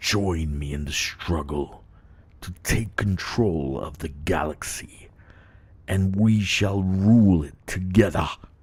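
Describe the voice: The man uses a put-on character voice with a menacing tone. His pitch is very deep and low. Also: fairly slow pace.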